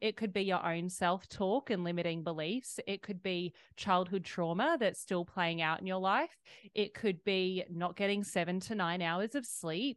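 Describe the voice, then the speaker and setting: The dry, close sound with no echo carries a woman in an Australian accent, showing ordinary pitch variation over a quiet background. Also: medium pitch for a woman, moderate pace. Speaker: fitness coach and author. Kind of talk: interview.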